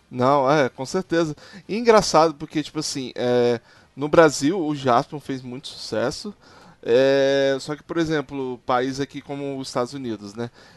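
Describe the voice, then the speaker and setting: Over a quiet background, a normal speaking voice with ordinary pitch variation and big swings in loudness comes through dry and close, with no echo. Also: man, fairly high pitch for a man, fairly slow pace. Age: 30s. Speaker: podcast host. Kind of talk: casual chat.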